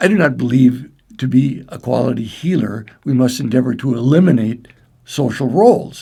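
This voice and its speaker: A man's medium-pitched, somewhat breathy voice with a Midwestern American accent, a dark, mellow tone, ordinary pitch variation and a moderate pace. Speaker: clinical psychologist and breathwork trainer. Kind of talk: training presentation. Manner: formal.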